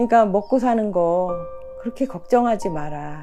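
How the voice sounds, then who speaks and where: Music plays behind a woman's voice. Her pitch swings very widely. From Korea, rural village. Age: 60s. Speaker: mother of four, aspiring spiritual practitioner. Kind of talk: reflective reading of a scripture passage.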